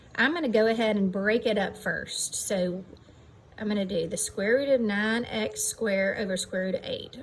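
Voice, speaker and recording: Background noise and room echo are both clearly audible. Through them, a woman talks at a moderate pace. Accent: American. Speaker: math teacher. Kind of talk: lecture. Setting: outdoors.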